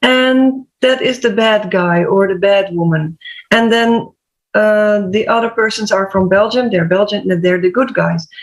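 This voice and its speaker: A woman with a Dutch accent, at a fairly slow pace, with very even loudness and ordinary pitch variation. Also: medium pitch for a woman. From Netherlands. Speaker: HR/PR coach and health podcaster. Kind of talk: panel discussion.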